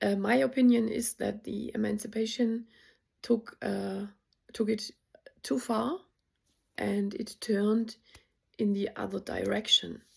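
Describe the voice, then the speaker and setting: This woman has a non-native accent. She talks at a fairly slow pace. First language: not English. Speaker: spiritual content creator. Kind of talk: casual vlog monologue. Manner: hesitant, many fillers.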